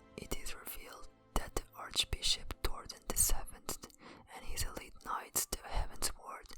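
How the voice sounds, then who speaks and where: Whispering in a non-native accent at a fairly slow pace. Music plays in the background. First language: not English. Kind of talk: ASMR lore narration. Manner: whispered.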